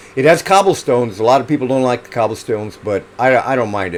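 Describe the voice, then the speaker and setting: This man's voice sits at a medium pitch and carries lively intonation, with noticeable background noise behind it. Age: 70s. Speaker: amateur runner and YouTuber. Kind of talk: casual show-and-tell video. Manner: conversational, hesitant with fillers.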